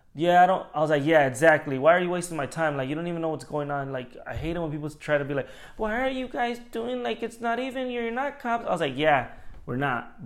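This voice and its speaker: At a fairly quick pace, a man speaks in an ordinary speaking voice with lively intonation. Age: 30s. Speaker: podcast host. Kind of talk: casual chat.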